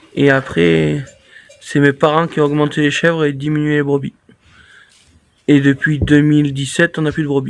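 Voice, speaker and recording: The voice moves at a moderate pace in a monotone, flat intonation, broken by long, frequent pauses. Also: man, fairly high pitch for a man. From Drôme, France. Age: 30s. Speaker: goat farmer. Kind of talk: casual Q&A chat.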